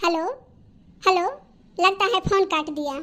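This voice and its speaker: This is a cartoonish character voice. The pitch is extremely high. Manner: formal, polite.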